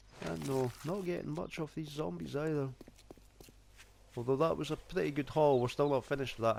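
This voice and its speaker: A man's fairly high voice in a strong Scottish accent, moderate in pace with lively intonation. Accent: thick Scottish. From Scotland. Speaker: gaming YouTuber. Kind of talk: let's play gaming commentary. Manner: casual.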